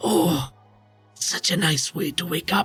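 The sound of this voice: Over faint background music, a man puts on a character voice with a husky, rough edge, a fairly bright tone, fairly high pitch and ordinary pitch variation, speaking slowly.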